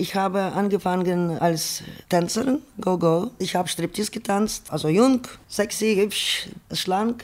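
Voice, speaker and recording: Speech unfolds at a very slow pace, its pitch varying in an ordinary way. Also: woman, medium pitch for a woman. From Ukraine. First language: Ukrainian or Russian (speaking German). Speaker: sex worker. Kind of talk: personal testimony in radio feature.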